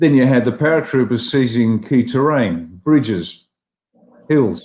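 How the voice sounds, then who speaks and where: His pitch shifts in an ordinary way. This man's voice sits at a medium pitch. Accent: Australian. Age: 60s. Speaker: former army officer and political leader. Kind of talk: panel discussion on a live stream. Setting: live stream panel.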